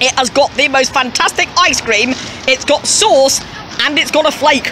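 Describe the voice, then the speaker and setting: With noticeable background noise, a high-pitched woman speaks in a Yorkshire accent at a very even loudness. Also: ordinary pitch variation, moderate pace. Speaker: vlogger. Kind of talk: casual talk to camera.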